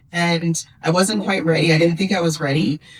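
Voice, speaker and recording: Over music in the background, a woman with a Canadian accent speaks at a moderate pace in a fairly low pitch. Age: 50s. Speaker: senior government official. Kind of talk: conference panel Q&A answer. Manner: hesitant fillers.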